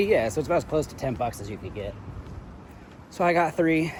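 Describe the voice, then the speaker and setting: A man with an American accent and lively intonation, over noticeable background noise. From United States. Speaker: travel vlogger. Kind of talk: casual vlog monologue. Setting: outdoors, walking in a city. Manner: loud.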